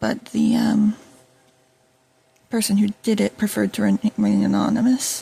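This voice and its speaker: A quiet woman's voice, very even in loudness, with long, frequent pauses and a dry, close sound with no echo. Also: moderate pace. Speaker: YouTuber. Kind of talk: casual vlog monologue. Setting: at home while food cooks. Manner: hesitant, many fillers.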